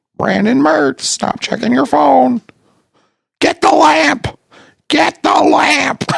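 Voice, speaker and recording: Using a put-on character voice, a man speaks in a raspy, fairly high pitch at a very slow pace, with long, frequent pauses. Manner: bossy, comedic.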